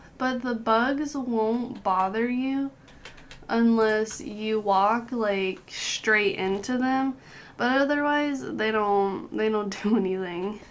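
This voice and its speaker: A woman talks at a very slow pace. Her voice sits fairly high, with ordinary pitch variation. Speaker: gaming guide creator. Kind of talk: game tutorial voice-over. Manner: casual, chatty.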